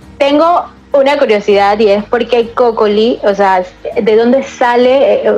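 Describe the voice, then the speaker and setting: Amid noticeable background noise, a woman with a high pitch speaks at a fairly slow pace with very even loudness and ordinary pitch variation. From Panama, Colón. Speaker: podcast host. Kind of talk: interview.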